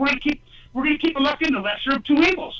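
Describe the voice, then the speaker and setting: The voice is raised and projected, with an animated tone. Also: man. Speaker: candidate for lieutenant governor. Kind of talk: call-in talk radio. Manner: loud.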